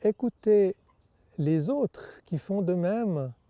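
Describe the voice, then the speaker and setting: A man's dark, mellow voice at a very slow pace, lively in intonation, dry and close with no echo, on a very clean recording with a silent background. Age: 60s. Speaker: men's group member. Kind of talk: personal testimony.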